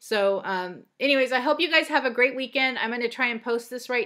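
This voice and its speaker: Against a quiet background, a woman speaks with a bright, sharp tone. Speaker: cross-stitch vlogger. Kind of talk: casual video vlog. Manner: hesitant, many fillers. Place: home room. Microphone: webcam.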